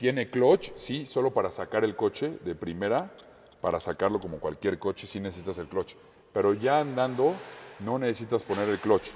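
At a moderate pace, a man speaks with medium pitch and lively intonation. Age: 20s. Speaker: racing driver. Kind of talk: interview. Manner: halting.

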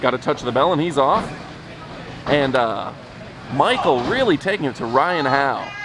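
The voice sounds dry with no echo while crowd noise fills the background. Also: man. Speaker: ringside commentator. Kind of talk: commentary. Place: hall.

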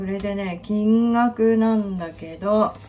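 This woman talks rather slowly. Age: 50s. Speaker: finance worker on leave. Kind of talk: casual talk to camera. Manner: casual, chatty. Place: kitchen. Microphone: phone near.

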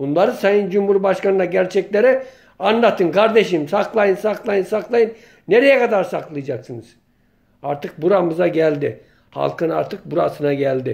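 Against a quiet background, a man speaks with a high pitch and lively intonation. His pace is moderate. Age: 50s. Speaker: local journalist and political commentator; local journalist, political commentator. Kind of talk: political monologue vlog. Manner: impassioned. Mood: indignant, complaining. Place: home room. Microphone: phone near.

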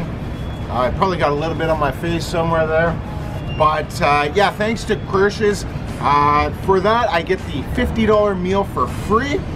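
There is noticeable background noise as a man talks at a very slow pace. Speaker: food challenge vlogger. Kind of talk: casual vlog chat. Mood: upbeat after winning challenge. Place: street. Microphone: camera far.

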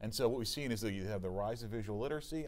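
Very fast speech from a man, fairly low in pitch, with normal pitch movement. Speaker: retail strategist; panelist. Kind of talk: panel discussion. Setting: studio with audience. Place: studio. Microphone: lapel.

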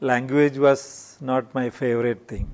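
In a Keralan accent, a man speaks at a fairly slow pace. His medium pitch stays fairly even. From India, Kerala. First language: Malayalam. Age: 60s. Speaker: industrialist; interviewee. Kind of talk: interview. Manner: halting. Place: studio. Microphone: lapel.

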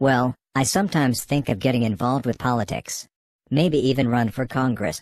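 A man performs a cartoonish character voice at a medium pitch and a fairly quick pace. His loudness stays very even over a quiet background. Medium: puppet. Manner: sassy, mocking.

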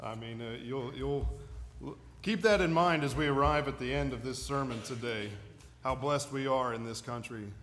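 Moderate-paced speech from a man at a medium pitch, with ordinary pitch variation. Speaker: pastor. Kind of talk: sermon preached to a congregation. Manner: passionate, emphatic.

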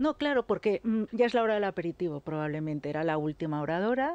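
Lively in intonation, a woman speaks at a fairly low pitch and a fairly quick pace. The sound is dry, with no echo. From Catalonia, Lleida; Catalonia. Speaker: political commentator. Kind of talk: radio panel debate. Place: studio. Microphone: studio mic.

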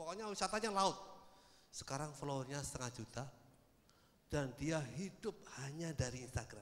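With very wide pitch swings and an animated tone, a man talks at a moderate pace. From Indonesia, not Padang. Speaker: social media expert; speaker. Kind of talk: seminar talk. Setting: stage with audience. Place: hall. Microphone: handheld.

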